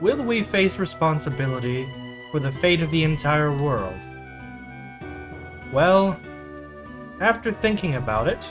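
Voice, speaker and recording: Music plays in the background as a man speaks at a fairly slow pace. His fairly high voice makes very wide pitch swings. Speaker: let's play gamer. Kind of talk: game commentary narration. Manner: stumbling over words.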